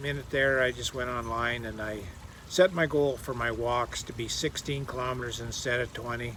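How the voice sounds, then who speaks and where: A man with a Canadian accent at a moderate pace, with noticeable background noise. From Canada. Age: 60s. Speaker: fitness vlogger. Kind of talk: casual vlog monologue. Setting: outdoors in a garden swing. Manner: halting, with fillers and restarts.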